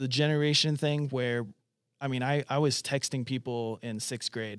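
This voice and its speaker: A man speaks with a plain, everyday voice at medium pitch. His pace is moderate and his intonation fairly even. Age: 30s. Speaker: church resident. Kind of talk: casual chat.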